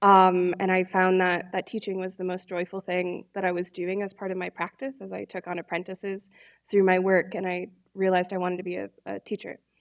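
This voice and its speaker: On a very clean recording with a silent background and a dry, close sound with no echo, a woman talks at a fairly quick pace, medium in pitch, with monotone, flat intonation. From Michigan, Detroit area. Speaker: artist and design teacher. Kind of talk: panel conversation. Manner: hesitant, many fillers.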